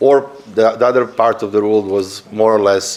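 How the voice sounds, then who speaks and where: A man keeps his intonation fairly even while noticeable background noise plays behind him. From Serbia. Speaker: panelist, political analyst. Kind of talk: conference panel talk. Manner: halting, many fillers and repetitions.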